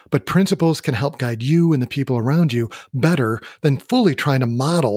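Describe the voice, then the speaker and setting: A man talks at a fairly quick pace with an American accent and a somewhat breathy quality. His pitch is medium, with ordinary variation. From US Midwest. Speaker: podcast host and leadership coach. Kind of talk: solo podcast monologue.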